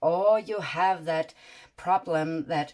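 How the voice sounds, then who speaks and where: A woman's fairly low voice with a Danish accent, in a very clean recording with a silent background. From Denmark. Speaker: tarot reader. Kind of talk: tarot reading monologue. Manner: halting, many fillers.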